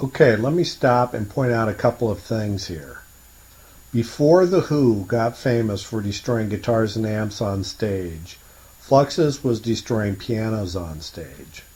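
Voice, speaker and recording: Using an ordinary speaking voice, a man talks at a fairly slow pace with lively intonation. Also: medium pitch for a man. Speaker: radio host. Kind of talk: pirate radio broadcast. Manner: playful, hip.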